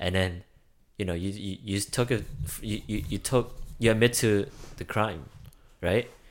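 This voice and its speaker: A man speaks at a fairly low pitch with ordinary pitch variation. His pace is fairly slow, broken by long, frequent pauses. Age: 20s. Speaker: podcast co-host. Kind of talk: casual chat. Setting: bathroom recording. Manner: halting.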